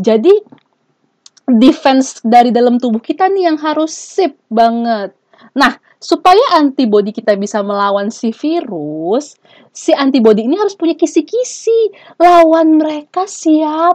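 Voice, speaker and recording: At a fairly slow pace, a woman talks in an animated tone, her high pitch making very wide swings. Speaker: researcher and podcast host. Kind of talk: casual solo podcast monologue.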